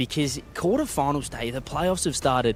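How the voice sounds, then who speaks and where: A man in an Australian accent, medium pitch, ordinary pitch variation, moderate pace. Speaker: floor reporter. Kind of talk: live esports broadcast report. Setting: arena floor.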